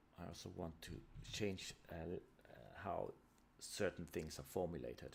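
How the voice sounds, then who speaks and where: With a non-native accent, a man talks fairly slowly in a very deep, low pitch with vocal fry, ordinary pitch variation and long, frequent pauses. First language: not English. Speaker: tabletop RPG designer streamer. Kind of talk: live stream, casual solo talk. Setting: live stream. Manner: halting, many repetitions and fillers.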